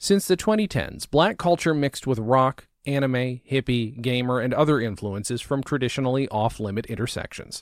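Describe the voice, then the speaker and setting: In a very clean recording with a silent background and a dry, close sound with no echo, a man with an unremarkable speaking voice talks at a moderate pace and medium pitch with lively intonation. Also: hardly any pauses. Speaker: reader of magazine story. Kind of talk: reading aloud.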